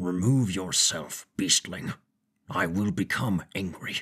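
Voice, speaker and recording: Booming and rumbling, a man's put-on character voice sits at a very deep, low pitch. He speaks at a fairly slow pace with fairly even intonation. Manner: terse, clipped, stern.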